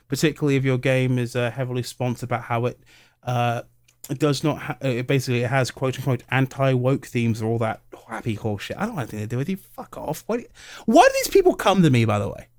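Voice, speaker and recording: With a British accent, a man talks at a very fast pace in a medium pitch, recorded very cleanly against a silent background. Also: ordinary pitch variation. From England. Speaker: YouTuber and podcast co-host. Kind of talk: casual chat. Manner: animated.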